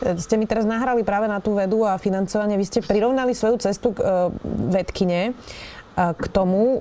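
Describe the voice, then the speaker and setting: This woman has an ordinary speaking voice at a medium pitch. Her intonation is fairly even and her pace moderate. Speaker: journalist interviewer. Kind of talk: interview.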